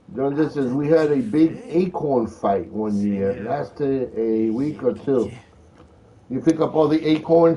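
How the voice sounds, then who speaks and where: An American accent shapes this man's dark, mellow tone, delivered at a fairly high pitch with lively intonation. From Philadelphia, US Northeast. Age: 60s. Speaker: gaming livestreamer. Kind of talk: live gameplay commentary with chat reading. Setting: home livestream. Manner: casual, chatty.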